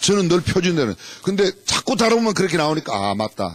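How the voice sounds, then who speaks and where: The speech moves at a fairly quick pace with very wide pitch swings. Background noise is noticeable. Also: man. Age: 60s. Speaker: pastor. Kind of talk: sermon. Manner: animated.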